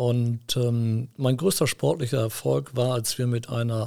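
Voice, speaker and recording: At a fairly slow pace, a man with a medium pitch speaks in a somewhat breathy voice. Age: 50s. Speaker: company executive. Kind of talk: interview. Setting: studio.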